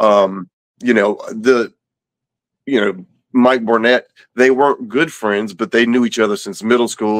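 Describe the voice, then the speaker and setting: A man with a Louisiana accent speaks at a medium pitch and moderate pace, and the sound is dry and close with no echo. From Louisiana, Baton Rouge. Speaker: abuse survivor and violence prevention advocate. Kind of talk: interview.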